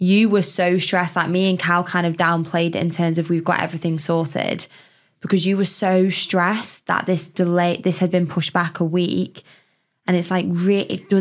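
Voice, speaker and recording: In an English accent, the speaker talks at a fairly quick pace with monotone, flat intonation. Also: woman. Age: 20s. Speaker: podcast co-host. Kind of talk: casual chat. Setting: studio.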